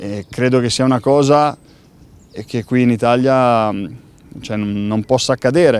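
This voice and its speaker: A man talks at a fairly slow pace with long, frequent pauses and fairly even intonation. His pitch is medium, and the sound is dry with no echo. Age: 30s. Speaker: professional footballer. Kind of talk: interview. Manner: halting, with many repeated words. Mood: calm, thoughtful. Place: stadium.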